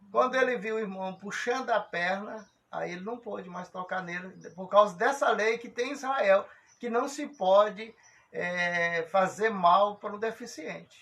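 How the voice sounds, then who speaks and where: A high-pitched man's voice with big swings in loudness. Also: ordinary pitch variation. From Brazil. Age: 60s. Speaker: religious program host. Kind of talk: casual religious discussion. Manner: halting.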